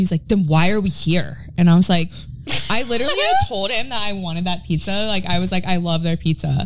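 Fairly low in pitch, a woman talks at a fairly quick pace with ordinary pitch variation. There is noticeable background noise. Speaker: podcast co-host, realtor. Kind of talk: casual chat.

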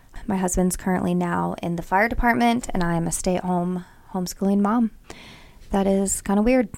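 At a fairly quick pace, a woman with medium pitch and ordinary pitch variation speaks in an unremarkable speaking voice. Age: 30s. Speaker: podcast co-host. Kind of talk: casual chat.

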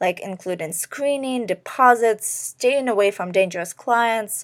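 Lively intonation marks a woman's speech at a moderate pace. The recording is very clean, with a silent background. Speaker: podcast host and sex worker. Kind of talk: casual monologue. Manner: filler-heavy, many likes and ums.

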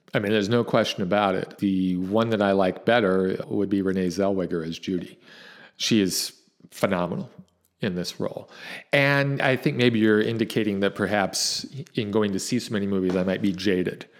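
A normal speaking voice, with ordinary pitch variation, proceeds at a moderate pace on a very clean recording with a silent background. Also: man, fairly low pitch for a man. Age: 50s. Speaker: teacher and film critic. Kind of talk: casual interview.

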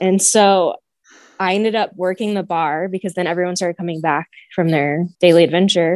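Against a quiet background with a dry, close sound and no echo, a woman with an American accent uses a plain, everyday voice, fairly low in pitch, fairly quick, with fairly even intonation. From Florida panhandle, US. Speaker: travel podcast co-host. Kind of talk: casual interview chat. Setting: video call.

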